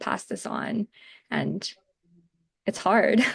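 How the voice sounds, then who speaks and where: A woman speaks at a fairly slow pace. Vocal fry runs through her voice. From Canada, immigrated at age five. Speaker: webinar moderator. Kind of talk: panel discussion.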